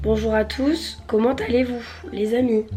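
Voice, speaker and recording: Speech moves at a fairly slow pace while music plays in the background. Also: woman. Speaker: lifestyle vlogger. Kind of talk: casual vlog.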